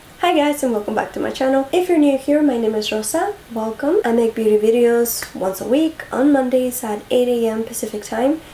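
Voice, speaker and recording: With noticeable noise behind her, a woman's high voice holds a moderate pace and ordinary pitch movement. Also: hardly any pauses. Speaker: beauty youtuber. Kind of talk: casual chat.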